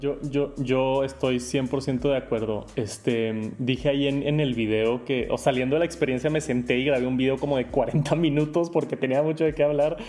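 With a Mexican accent, a man speaks at a moderate pace and medium pitch, with fairly even intonation, very even loudness and hardly any pauses, over noticeable background noise. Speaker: tech youtuber. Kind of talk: casual chat.

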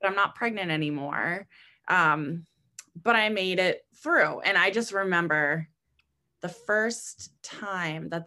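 With an American accent, a woman speaks fairly slowly at a fairly low pitch, with ordinary pitch variation and a bright, sharp tone. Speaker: fitness instructor. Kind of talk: casual interview chat.

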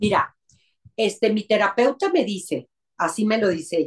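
Lively intonation at a very slow pace. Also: woman. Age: 50s. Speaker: psychologist. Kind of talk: interview.

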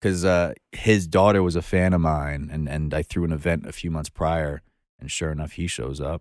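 In a Brooklyn accent, a man with a very deep, low pitch talks at a moderate pace with fairly even intonation. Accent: New York, Brooklyn-sounding. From Long Island, New York. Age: 20s. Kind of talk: casual chat.

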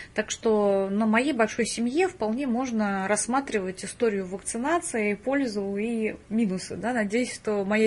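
Somewhat breathy and fairly high-pitched, a woman talks with lively intonation over a quiet background. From Russia, Penza. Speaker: biology professor, microbiologist. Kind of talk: interview.

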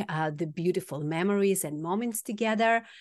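A woman with a medium pitch speaks against a quiet background. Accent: Kazakh. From Kazakhstan. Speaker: healer. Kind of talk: casual chat.

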